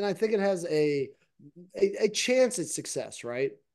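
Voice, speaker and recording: Against a quiet background, a man speaks with a high pitch. His tone is dark and mellow. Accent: American. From United States. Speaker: soccer betting podcast co-host. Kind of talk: casual chat.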